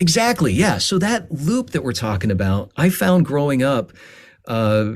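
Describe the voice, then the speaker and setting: Pitch swings very widely as a man talks at a moderate pace in a fairly high register. The recording is very clean, with a silent background. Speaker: voice actor. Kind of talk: podcast interview conversation. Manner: passionate; halting with fillers.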